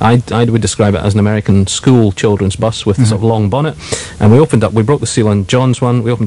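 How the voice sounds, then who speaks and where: A man talks very fast at a fairly low pitch with ordinary pitch variation. Noticeable background noise sits under his voice. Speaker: radio presenter. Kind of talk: live radio presenter talk.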